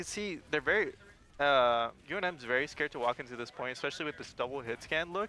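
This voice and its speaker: A man with a non-native accent speaks very fast at a fairly high pitch. His tone is bright and sharp, with lively intonation. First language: not English. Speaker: esports caster. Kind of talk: live commentary. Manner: animated.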